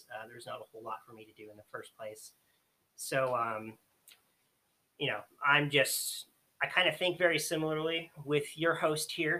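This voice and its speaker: Pausing long and often, a man speaks at a moderate pace with a fairly high pitch, ordinary pitch variation and big swings in loudness. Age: 20s. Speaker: escape room host. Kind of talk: casual chat.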